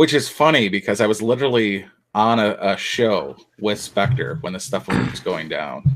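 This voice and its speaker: A man with a Midwestern accent talks in a fairly low voice. His intonation is lively. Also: moderate pace. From Michigan, Detroit. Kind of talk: casual chat.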